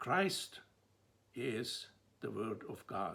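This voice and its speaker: The speech moves at a very slow pace. It carries a Swiss accent. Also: man. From Switzerland. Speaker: theology lecturer. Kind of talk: lecture. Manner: measured, with some hesitations.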